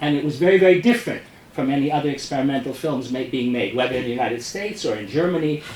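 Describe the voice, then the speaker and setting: Noticeable background noise and audible room echo surround a man with a strong New York accent. His fairly high voice has very wide pitch swings. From US Northeast, New York City. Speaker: experimental filmmaker. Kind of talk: talk introducing a film screening. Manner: fast; halting, with frequent restarts.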